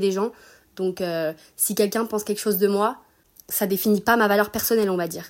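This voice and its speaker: A woman talks at a fairly quick pace in monotone, flat intonation, on a very clean recording with a silent background. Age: 20s. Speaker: student. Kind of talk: recorded testimony.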